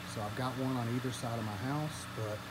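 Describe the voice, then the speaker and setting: Against noticeable background noise, a man with a medium pitch speaks at a very fast pace with fairly even intonation. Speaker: homeowner YouTuber. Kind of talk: casual vlog tutorial. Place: garden. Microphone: phone near.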